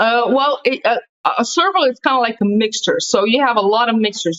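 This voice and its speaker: A woman with a Slovenian accent, fairly high in pitch, with lively intonation and a fairly quick pace. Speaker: podcast host. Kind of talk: casual chat.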